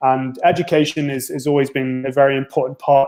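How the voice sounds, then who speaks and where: Here a man talks with a fairly high pitch. His intonation is monotone and flat. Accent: North Welsh. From North Wales. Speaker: university international recruitment officer. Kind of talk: interview.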